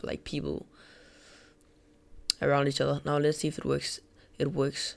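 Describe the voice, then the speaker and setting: A non-native accent at a moderate pace, on a very clean recording with a silent background. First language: not English. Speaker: gaming tutorial creator. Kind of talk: tutorial. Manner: casual, filler-heavy.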